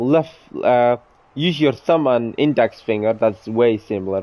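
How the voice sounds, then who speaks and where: The pace is fairly slow. A man does the talking. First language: not English (speaks own tongue, Dutch, English). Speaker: gaming streamer. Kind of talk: casual chat while live streaming a game. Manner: halting, self-correcting.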